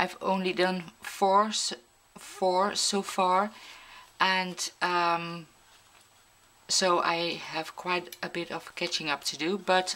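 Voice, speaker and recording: A woman speaks with a non-native accent at a fairly low pitch. Her intonation is monotone and flat. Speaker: mixed media artist. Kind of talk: craft tutorial narration. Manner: hesitant, many filler sounds.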